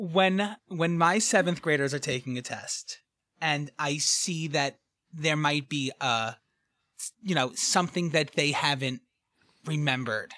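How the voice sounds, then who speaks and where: Spoken at a fairly slow pace with a New York accent. The recording is very clean, with a silent background. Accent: New York, thick. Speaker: escape room game designer. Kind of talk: casual chat.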